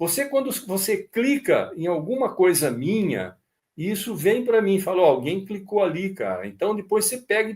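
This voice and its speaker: His pitch high, a man speaks with very wide swings up and down. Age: 70s. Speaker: model aircraft instructor. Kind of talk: live stream talk. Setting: live stream. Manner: casual, conversational.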